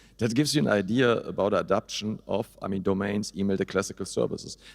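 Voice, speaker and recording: With a German accent, a man talks at a fairly quick pace. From Germany. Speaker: hosting company CEO. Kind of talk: panel discussion.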